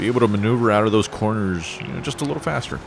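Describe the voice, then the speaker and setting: Over noticeable background noise, a man with a fairly low pitch talks at a very fast pace with lively intonation. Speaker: gaming video creator. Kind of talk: gameplay commentary. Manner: halting, stops mid-sentence.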